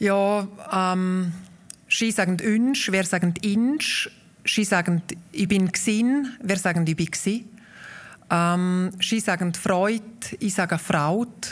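A woman speaks very slowly at medium pitch with ordinary pitch variation and long, frequent pauses, in a very clean recording with a silent background. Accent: Valais. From Obersaxen, Graubünden, Switzerland. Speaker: guest, author, Walser association president. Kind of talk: live interview, chat. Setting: live stage with audience at a festival.

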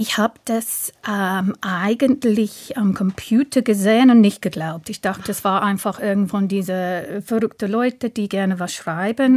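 A woman with an English accent speaks at a fairly slow pace with ordinary pitch variation, in a dry, close sound with no echo. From southern England. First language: English (speaking German). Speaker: translator and language teacher. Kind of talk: radio interview. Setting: studio.

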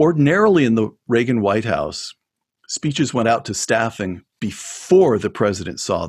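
Lively intonation runs through an ordinary speaking voice. The pace is moderate. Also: man, medium pitch for a man. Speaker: former speechwriter. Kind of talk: interview.

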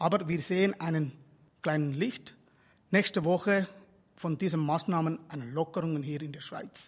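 This man has a Tamil accent and a fairly high pitch. He speaks at a fairly slow pace with ordinary pitch variation. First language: Tamil (speaking German). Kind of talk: religious address.

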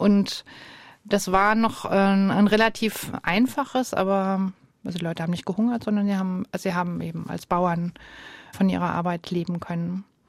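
The speaker keeps a moderate pace with long, frequent pauses. The intonation stays fairly even. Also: woman, medium pitch for a woman. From Germany. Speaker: ethnologist and museum director. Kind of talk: radio interview. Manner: hesitant with fillers.

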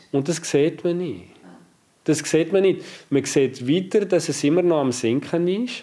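Speaking at a fairly slow pace, a man has a fairly high pitch with ordinary variation. His tone is dark and mellow. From French-speaking Switzerland. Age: 40s. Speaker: family doctor and professor. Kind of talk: interview. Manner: friendly.

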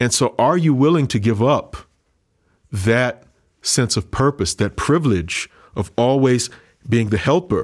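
The delivery is fairly slow, with lively intonation, long and frequent pauses, and very even loudness, on a very clean recording with a silent background. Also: man, medium pitch for a man. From US South, Louisiana (Creole family). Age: 30s. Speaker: pastor. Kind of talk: interview.

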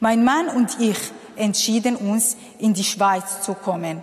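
Over noticeable background noise, a woman with a Kurdish accent talks in a fairly high voice. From Syria. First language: Kurdish (speaking German). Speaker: refugee and social worker. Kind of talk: testimony.

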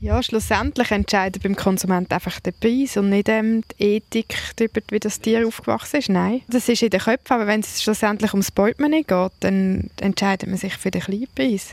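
In a plain, everyday voice, a woman speaks at a moderate pace with hardly any pauses, medium pitch and ordinary pitch variation, the sound dry and close with no echo. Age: 30s. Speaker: farmer. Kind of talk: interview.

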